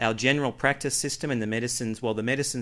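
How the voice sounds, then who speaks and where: Pitch shows ordinary variation here. The voice carries an Australian accent. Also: man. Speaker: health researcher. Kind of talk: conference presentation.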